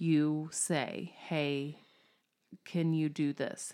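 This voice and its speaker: A woman with a very deep, low pitch speaks on a very clean recording with a silent background. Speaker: podcast co-host.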